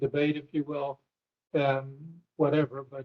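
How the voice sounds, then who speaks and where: Somewhat breathy and fairly high in pitch, a man speaks with monotone, flat intonation. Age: 60s. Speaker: committee chair. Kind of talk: meeting discussion. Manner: formal.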